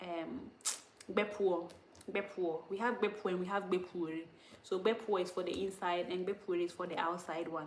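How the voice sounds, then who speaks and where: The speech has a Ghanaian accent. Its pace is moderate and its intonation fairly even. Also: woman, medium pitch for a woman. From Ghana, Upper West (Dagaare-speaking). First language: Dagaare. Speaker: language teacher on live stream. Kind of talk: live stream language lesson. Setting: YouTube live stream. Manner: casual, chatty.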